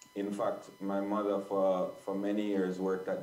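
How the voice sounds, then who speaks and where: A man with a very deep, low pitch speaks monotone and flat at a moderate pace, with audible room echo. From Jamaica (Kingston). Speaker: live sound engineer. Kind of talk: guest talk on a video call. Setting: video call. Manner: halting, many repetitions and fillers.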